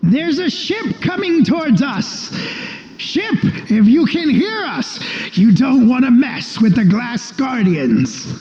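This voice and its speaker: A put-on character voice shouts, loud and booming, at a fairly high pitch. The delivery moves at a fairly slow pace. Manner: loud, shouting.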